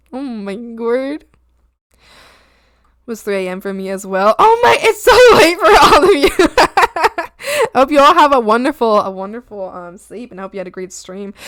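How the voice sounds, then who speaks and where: Shouting at a fairly quick pace, the speaker's voice moves in very wide pitch swings. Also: woman. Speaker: art streamer. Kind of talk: casual chat. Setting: live stream. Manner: loud, screaming.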